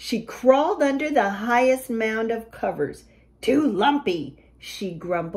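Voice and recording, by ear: Natural-voiced reading aloud, intonation lively throughout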